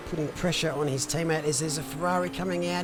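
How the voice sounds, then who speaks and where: A man's voice over noticeable background noise. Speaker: sim racing commentator and streamer. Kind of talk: live commentary; casual chat with stream chat. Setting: live stream. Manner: casual, animated.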